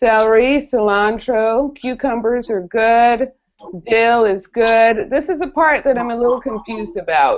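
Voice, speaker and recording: Speaking at a fairly slow pace, a woman has an unremarkable speaking voice and a fairly high pitch. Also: ordinary pitch variation. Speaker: college professor. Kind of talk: online homework help session. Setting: video call.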